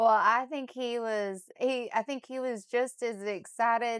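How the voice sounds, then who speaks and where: A woman with an unremarkable speaking voice, fairly high in pitch, at a fairly slow pace and with fairly even intonation, on a very clean recording with a silent background. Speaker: real estate agent. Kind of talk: interviewer, casual conversation.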